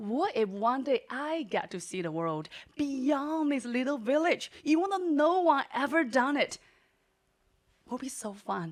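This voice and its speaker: A woman with a Chinese accent speaks fairly slowly in a high, animated voice. Her pitch swings very widely. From southeastern China, small mountain town. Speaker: storyteller, entrepreneur. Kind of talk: live storytelling performance. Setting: stage with audience.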